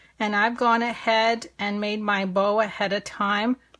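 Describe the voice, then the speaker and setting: An American accent shapes this woman's speech. She has a medium pitch. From US, French-Canadian family. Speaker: papercrafting instructor. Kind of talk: live online craft tutorial. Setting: live video stream. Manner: casual, chatty with fillers; slow-paced.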